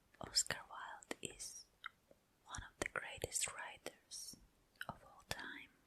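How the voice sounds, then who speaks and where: The speech is whispered and very slow. Long pauses occur frequently. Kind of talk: casual ASMR intro to listener. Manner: whispered, soft-spoken.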